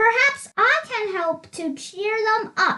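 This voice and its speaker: Putting on a squeaky character voice at an extremely high pitch, a woman speaks at a fairly slow pace with lively intonation. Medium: read story. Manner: gentle, good-humoured.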